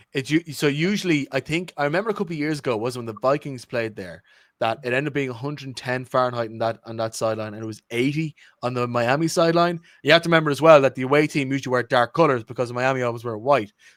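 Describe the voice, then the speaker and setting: In an Irish accent, a man talks at a very fast pace with ordinary pitch variation and big swings in loudness, recorded very cleanly against a silent background. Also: medium pitch for a man, dry, close sound with no echo. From Ireland. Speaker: podcast co-host. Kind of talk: casual chat.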